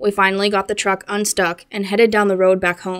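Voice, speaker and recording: On a very clean recording with a silent background, a woman speaks at a medium pitch and a fairly quick pace. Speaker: channel narrator reading listener-submitted encounter stories.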